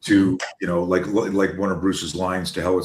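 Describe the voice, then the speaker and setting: Very deep, low male voice at a fairly quick pace. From Quebec, Montreal. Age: 60s. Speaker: self-defense coach. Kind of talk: podcast interview.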